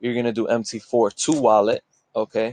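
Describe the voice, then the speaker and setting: A man at a medium pitch and fairly slow pace, in a dry, close sound with no echo. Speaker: forex trading youtuber. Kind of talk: screen-share tutorial. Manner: casual, filler-heavy.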